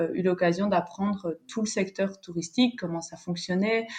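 A woman talks at a moderate pace in an unremarkable speaking voice, medium in pitch, with fairly even intonation. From French-speaking Belgium. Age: 20s. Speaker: travel planner. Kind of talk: casual interview.

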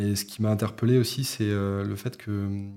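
A dark, mellow tone marks this man's fairly low-pitched voice, which keeps fairly even intonation. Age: 20s. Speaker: photojournalist. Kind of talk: interview. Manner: halting, many fillers.

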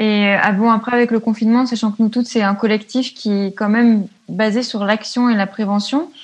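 At a moderate pace, the somewhat breathy voice keeps very even loudness and fairly even intonation. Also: woman, fairly high pitch for a woman. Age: 20s. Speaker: student and feminist activist. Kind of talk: casual interview. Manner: hesitant, many fillers.

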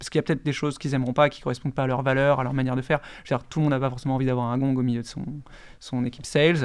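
A man talks very fast at a medium pitch with a monotone, flat intonation. The recording is very clean with a silent background. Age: 30s. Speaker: startup chief executive. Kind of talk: casual interview.

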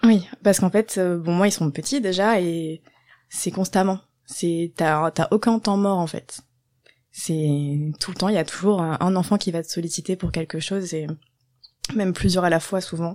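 On a very clean recording with a silent background, a woman with fairly low pitch speaks at a fairly slow pace, with fairly even intonation and long, frequent pauses. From southwest France, Landes. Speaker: primary school teacher. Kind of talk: casual interview.

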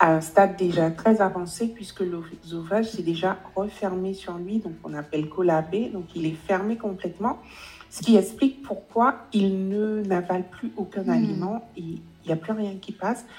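A woman of medium pitch speaks fairly slowly with ordinary pitch variation and big swings in loudness, amid noticeable background noise. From Guadeloupe. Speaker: relationship coach. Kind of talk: interview.

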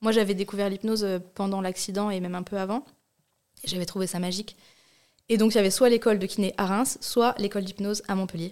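A woman at medium pitch talks at a very fast pace, broken by long, frequent pauses. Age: 30s. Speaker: hypnotherapist, podcast guest. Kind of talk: casual chat. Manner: animated.

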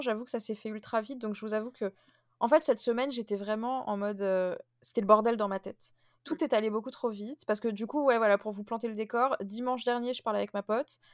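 Talking at a very fast pace, a woman keeps her fairly high voice at a fairly even intonation. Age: 20s. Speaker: podcast host. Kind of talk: casual chat.

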